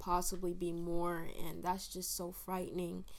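This is a woman speaking. Room echo can be heard in the recording. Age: young (19). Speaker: college student. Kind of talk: casual chat.

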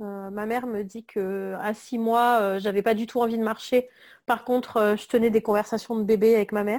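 On a very clean recording with a silent background, a woman speaks at a fairly high pitch in a monotone, flat intonation. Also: moderate pace. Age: 30s. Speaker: graphic designer. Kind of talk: interview. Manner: hesitant, many fillers.

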